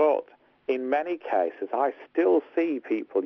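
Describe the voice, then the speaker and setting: A man speaks with a Liverpool accent. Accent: English accent, compared to Beatles accents. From northern England, Hartlepool. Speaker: tech lawyer and podcast co-host. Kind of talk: casual podcast discussion.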